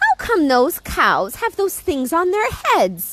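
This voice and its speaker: A woman's squeaky put-on character voice, extremely high in pitch, at a fairly slow pace. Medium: read story.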